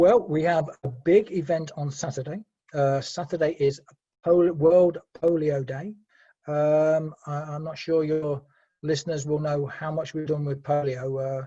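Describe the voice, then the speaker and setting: A man in a British accent with a dark, mellow tone, a fairly high pitch, fairly even intonation and a fairly slow pace. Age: 60s. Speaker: Rotary Club treasurer. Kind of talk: interview. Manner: halting.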